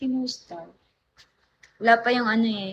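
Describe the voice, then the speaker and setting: A woman is speaking with a fairly high pitch. Her pitch varies in an ordinary way. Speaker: livestreamer. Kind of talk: live stream chat with viewers. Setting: at someone else's house. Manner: soft-spoken, low volume; animated.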